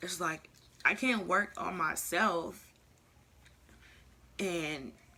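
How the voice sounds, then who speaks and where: With vocal fry and a bright, sharp tone, a woman speaks at a fairly low pitch. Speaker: vlogger. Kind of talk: casual vlog monologue. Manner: soft-spoken.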